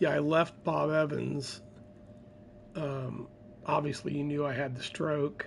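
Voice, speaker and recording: Quiet and fairly slow, the speech is marked by long, frequent pauses. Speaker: gaming streamer. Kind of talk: casual chat. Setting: at home.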